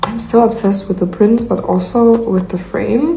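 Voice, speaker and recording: The pitch varies in an ordinary way. Noticeable background noise and audible room echo surround the voice. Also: woman. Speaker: lifestyle vlogger. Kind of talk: casual vlog narration. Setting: at home in new apartment. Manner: slow.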